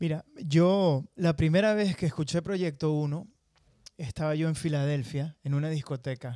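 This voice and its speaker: A man speaks at a fairly high pitch in a dark, mellow tone. The sound is dry with no echo, over a quiet background. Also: ordinary pitch variation, fairly slow pace. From Venezuela, Acarigua; Venezuela. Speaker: singer and songwriter; guest. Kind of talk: interview. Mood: relaxed, storytelling. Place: studio. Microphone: handheld.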